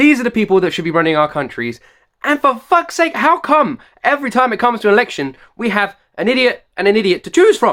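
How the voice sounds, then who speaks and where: A man speaks very fast at an extremely high pitch, with very wide pitch swings and a bright, sharp, passionate tone. The recording is very clean with a silent background. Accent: British. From United Kingdom. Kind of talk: reaction video talk to camera. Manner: passionate, ranting.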